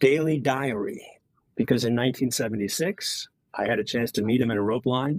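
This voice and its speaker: Speaking at a medium pitch, the man has an American accent. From Wisconsin, US Midwest. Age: 60s. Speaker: author. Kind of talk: podcast interview. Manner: halting.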